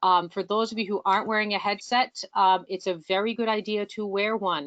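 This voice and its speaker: A woman at a medium pitch. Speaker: board liaison of an educators' association. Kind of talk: online meeting presentation. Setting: online video meeting. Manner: fast.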